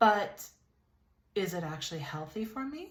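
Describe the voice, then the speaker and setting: In an American accent, a woman talks with very wide pitch swings. Her somewhat breathy voice moves at a moderate pace. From California, Lompoc. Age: 30s. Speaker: YouTube vlogger. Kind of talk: casual vlog monologue. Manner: conversational, with fillers and repetitions.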